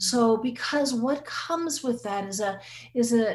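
Somewhat breathy, this woman's voice carries lively intonation. She is the speaker throughout. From Guam. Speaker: psychologist. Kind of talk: interview. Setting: video call.

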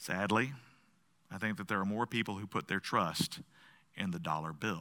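Recorded very cleanly over a silent background, a man with an American accent talks at a moderate pace in a bright, sharp tone, with fairly low pitch and ordinary pitch variation. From US South. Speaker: pastor. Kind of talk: sermon. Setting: church.

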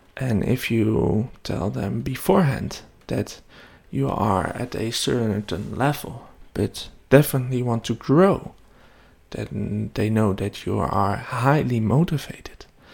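A man's very slow, medium-pitched speech with vocal fry and very wide pitch swings. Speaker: web development podcaster. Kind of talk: solo podcast monologue. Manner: hesitant, many fillers.

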